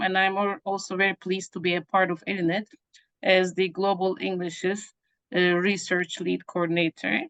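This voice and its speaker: A woman speaks in a Turkish accent at a moderate pace. Her intonation is monotone and flat, and the sound is dry and close with no echo. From Turkey. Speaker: professor. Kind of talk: academic presentation.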